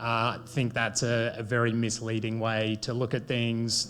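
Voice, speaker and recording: Speaking at a moderate pace, a man with an Australian accent uses a medium pitch. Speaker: bitcoin mining company executive. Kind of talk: panel discussion.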